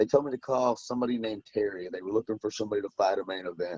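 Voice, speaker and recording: Heard with a dry, close sound and no echo, a man with a slight Southern US accent speaks with ordinary pitch variation. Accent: slight southern country twang. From US South, western Tennessee near Memphis. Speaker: bare knuckle fighter. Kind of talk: casual interview chat.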